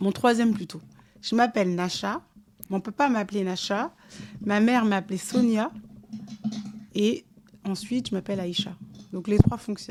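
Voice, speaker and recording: The speaker keeps a medium speed and normal pitch movement, stopping often for long pauses. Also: woman, medium pitch for a woman. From DR Congo, Kinshasa; also lived in Angola, Senegal, Mali. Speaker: entrepreneur and project director. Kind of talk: casual chat. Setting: her home.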